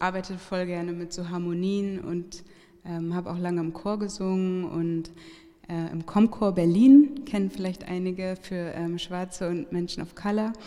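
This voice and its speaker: A woman has an unremarkable speaking voice, medium in pitch, with fairly even intonation at a fairly slow pace. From Hamburg, Germany. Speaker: singer-songwriter. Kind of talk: casual interview. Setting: live venue with audience.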